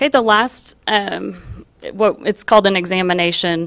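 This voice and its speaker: A woman's voice with fairly even intonation. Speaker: auditor presenting to school board. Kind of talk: formal presentation at board meeting. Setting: public school board meeting. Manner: fast.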